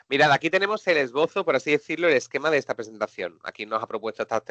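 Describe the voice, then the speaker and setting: A man's bright, sharp tone comes through a dry, close sound with no echo against a quiet background. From Seville, Andalusia, southern Spain. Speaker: technology presenter and trainer. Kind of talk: live webinar software demo. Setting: online webinar.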